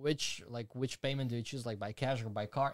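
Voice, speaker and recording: The recording is very clean with a silent background. A man talks at a medium pitch with ordinary pitch variation. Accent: Slovak. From Slovakia. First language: Slovak. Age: 20s. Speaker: YouTuber and animator. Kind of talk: casual interview. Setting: studio.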